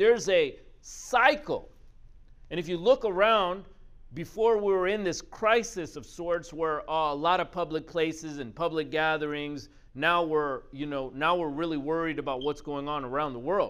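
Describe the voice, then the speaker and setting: An animated man speaks at a moderate pace. His pitch is fairly high. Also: ordinary pitch variation. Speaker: motivational speaker. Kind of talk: pep talk. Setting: video. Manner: animated, punchy, emphatic; direct, rhetorical questions to the listener.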